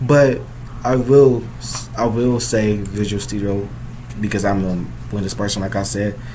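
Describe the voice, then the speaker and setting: A man's fairly low voice with ordinary pitch variation, audible room echo and noticeable background noise. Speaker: coding tutorial youtuber. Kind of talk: tutorial. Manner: casual, filler-heavy.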